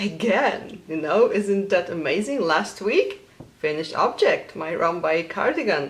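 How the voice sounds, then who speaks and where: A woman with a Polish accent speaks at a fairly slow pace and a medium pitch, with lively intonation. Noticeable background noise is present. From Poland. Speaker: knitting podcaster. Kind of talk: casual vlog.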